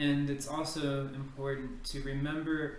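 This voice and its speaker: A voice with a Texan accent, with audible room echo and noticeable background noise. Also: man. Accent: Texan American English. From Texas. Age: 20s. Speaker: ESL teacher applicant. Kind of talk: video application self-introduction.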